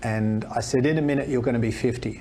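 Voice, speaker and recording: With an Australian accent, a man speaks fairly quickly at medium pitch amid audible room echo. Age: 60s. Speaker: fitness expert and speaker. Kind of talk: podcast interview.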